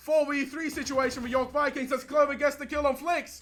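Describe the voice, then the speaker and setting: A man speaks in a raised, projected voice with an extremely high pitch and a bright, sharp tone. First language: not English. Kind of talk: live commentary.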